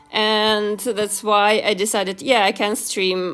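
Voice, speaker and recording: Noticeable background noise is present. A woman with a medium pitch speaks at a very slow pace. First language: not English. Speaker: YouTuber and illustrator. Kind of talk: casual livestream chat while drawing. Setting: livestream. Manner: halting, many fillers.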